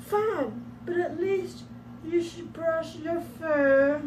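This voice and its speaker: Soft-spoken and female-sounding, a put-on character voice speaks very slowly over clear background noise. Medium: read story. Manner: soft, soothing.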